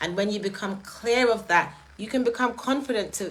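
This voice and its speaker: A woman with a strong British accent at a fairly quick pace, ordinary pitch variation and noticeable background noise. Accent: strongly British. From Jamaica. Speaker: live streamer. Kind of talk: live stream talk. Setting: live stream.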